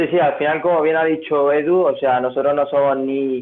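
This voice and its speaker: With a fairly high-pitched voice, a man talks at a moderate speed. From Spain, Granada (Andalusia). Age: 19. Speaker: crypto enthusiast presenter. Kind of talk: tutorial presentation. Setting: video call. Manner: hesitant, many fillers and repetitions.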